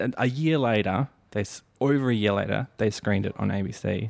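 A man with an Australian accent talks at a fairly quick pace, recorded dry and close with no echo in a very clean recording with a silent background. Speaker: podcast host and filmmaker. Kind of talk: casual interview chat.

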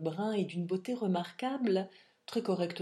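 The voice is a natural reading one. Pitch shifts by an ordinary amount.

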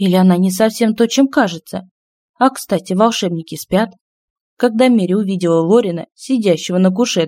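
In a natural reading voice with ordinary pitch variation, the speaker talks over a quiet background.

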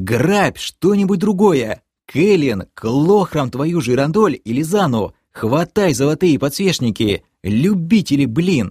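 A man puts on a character voice with a fairly high pitch, big pitch swings and a fairly slow pace. His tone is slightly mellow with a slightly husky edge, on a very clean recording with a silent background.

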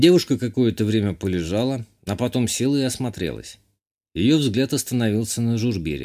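The background stays quiet. Here is an unforced reading voice, and its pitch variation is ordinary.

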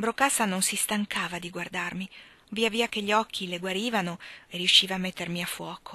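This is plain reading aloud. The text is read without embellishment.

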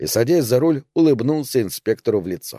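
The background is quiet as someone reads plainly aloud.

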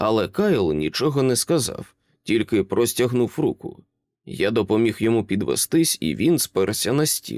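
Against a quiet background, a natural reading voice moves with lively intonation.

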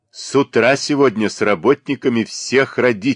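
Reading aloud, plain

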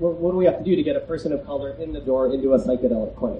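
A man talks at a very fast pace with a fairly high pitch. There is audible room echo. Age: 30s. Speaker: psychiatrist. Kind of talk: lecture. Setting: outdoor festival tent with audience.

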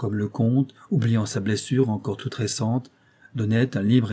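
Fairly even intonation in a natural reading voice

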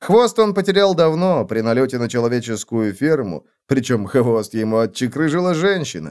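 The plain reading aloud carries lively intonation from start to finish.

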